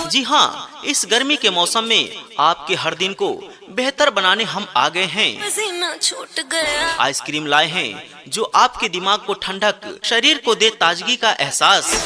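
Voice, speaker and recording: A man speaks with a high pitch and very wide pitch swings. Noticeable background noise sits behind him. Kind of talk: street vendor loudspeaker advertisement. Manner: energetic, persuasive sales pitch.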